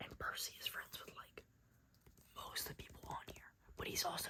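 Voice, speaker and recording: Whispering at a moderate pace. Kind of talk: casual talk to camera, gossip storytelling.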